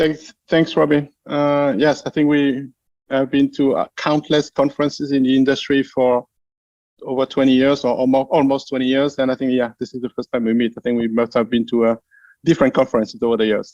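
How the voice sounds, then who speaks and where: Heard dry and close with no echo, a man with a French accent talks at a medium pitch and fairly quick pace with fairly even intonation. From France. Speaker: translation company founder. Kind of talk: interview.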